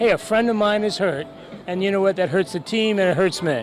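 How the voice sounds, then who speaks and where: Through noticeable background noise, a man with a high pitch and ordinary pitch variation speaks at a very fast pace. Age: 60s. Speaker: TV sports interviewer. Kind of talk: casual interview. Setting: bar at charity poker event.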